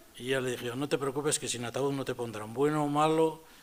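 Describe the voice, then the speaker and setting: Fairly high-pitched man at a moderate pace with ordinary pitch variation over noticeable background noise. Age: 70s. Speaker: Capuchin friar and retired theology professor. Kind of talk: public talk. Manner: animated.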